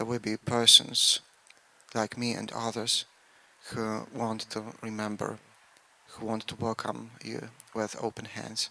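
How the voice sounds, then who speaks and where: With a Polish accent, a man talks at a fairly slow pace with long, frequent pauses, a medium pitch, monotone, flat intonation and a bright, sharp tone, in a dry, close sound with no echo. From Poland. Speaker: local speaker at memorial. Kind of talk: commemorative speech.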